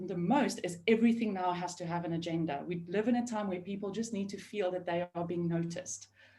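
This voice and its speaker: A woman's somewhat breathy, dark and mellow voice at medium pitch, fairly quick, with hardly any pauses and ordinary pitch variation. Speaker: remote team leadership consultant. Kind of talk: webinar panel discussion. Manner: fast.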